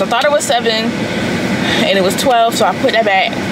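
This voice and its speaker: Loud background noise behind a woman's speech. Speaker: vlogger. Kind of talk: casual vlog talk to camera. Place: car. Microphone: phone near.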